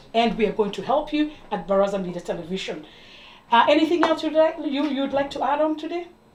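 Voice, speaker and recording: Amid noticeable background noise, a woman with a high pitch and an East African accent talks at a very fast pace with very wide pitch swings. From Kenya. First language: Swahili. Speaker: TV talk show host. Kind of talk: interview.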